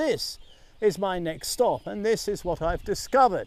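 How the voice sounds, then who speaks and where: Speaking fairly slowly, a man uses a high pitch and lively intonation. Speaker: travel vlogger exploring temples. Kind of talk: travel vlog narration. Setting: outdoors at a temple. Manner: lowered voice.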